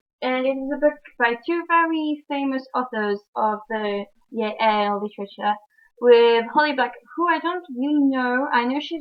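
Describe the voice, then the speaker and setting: With a French accent, a woman talks at a moderate pace with ordinary pitch variation. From France. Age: young. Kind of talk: book review talk to camera. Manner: casual, hesitant.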